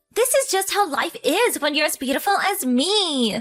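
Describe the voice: Using a put-on character voice, a woman speaks at a moderate pace with an extremely high pitch, a fairly bright tone and big pitch swings as faint music plays in the background.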